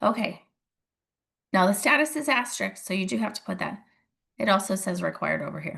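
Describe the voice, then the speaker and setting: A woman's medium-pitched voice with vocal fry and a bright, sharp tone, lively intonation, a fairly quick pace, long, frequent pauses, and a quiet background. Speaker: real estate agent and mentor. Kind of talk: tutorial. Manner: casual, conversational.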